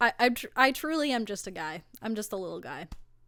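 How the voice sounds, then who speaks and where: Music plays behind a fairly quick delivery. The pitch swings very widely. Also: woman. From Italy, moved to Canada very young. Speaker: singer-songwriter. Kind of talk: casual chat. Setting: living room.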